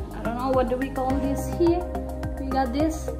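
A woman's fairly slow speech over clear background music. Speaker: vlogger. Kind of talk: casual vlog chat. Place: home room. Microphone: phone near.

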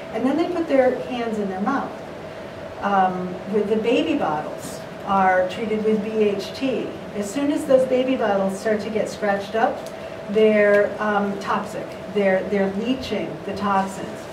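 Ordinary pitch variation marks this woman's speech. There is noticeable background noise behind it. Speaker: artist. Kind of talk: panel discussion. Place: meeting room.

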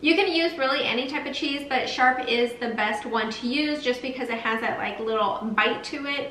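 Against light background noise and audible room echo, a woman speaks at a fairly slow pace in a high pitch with ordinary pitch variation. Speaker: lifestyle vlogger. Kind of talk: casual vlog chat. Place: kitchen. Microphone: camera far.

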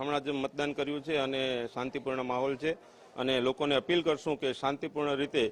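With flat, monotone intonation, a man talks at a fairly high pitch amid noticeable background noise. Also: very even loudness. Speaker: local political figure. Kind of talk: vox pop interview.

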